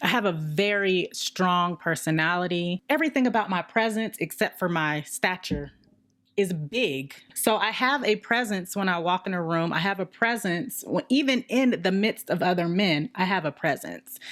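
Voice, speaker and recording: In a very clean recording with a silent background, a woman speaks with lively intonation at a medium pitch and a moderate pace. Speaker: podcast co-host. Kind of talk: casual chat. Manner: loud.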